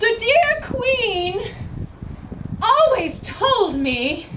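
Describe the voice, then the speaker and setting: Over clear background noise, a female-sounding voice puts on a squeaky character voice at an extremely high pitch. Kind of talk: improv comedy. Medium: stage play. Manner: grandiose, archaic phrasing.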